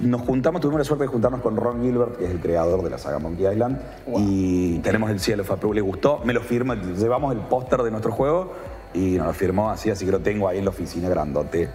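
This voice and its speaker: The speech comes very fast over noticeable background noise, with audible room echo. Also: man, fairly low pitch for a man, lively intonation. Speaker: video game developer and event presenter. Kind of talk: casual chat.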